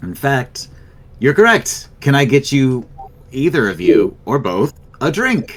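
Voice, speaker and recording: In a booming put-on character voice, a man speaks at a fairly high pitch and a fairly slow pace, with long, frequent pauses. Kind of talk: carnival barker pitch. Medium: actual play. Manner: flamboyant, ingratiating, salesy.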